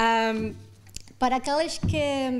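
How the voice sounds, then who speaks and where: A woman with a high pitch speaks in a non-native accent, recorded very cleanly against a silent background. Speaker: conference panelist, international organization official. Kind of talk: conference presentation. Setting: auditorium with audience. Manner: halting, many fillers.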